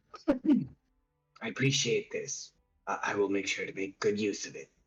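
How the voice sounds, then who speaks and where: Using a put-on character voice, a man speaks raspily at a moderate pace, his loudness swinging widely. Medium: actual play. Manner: earnest, reassuring.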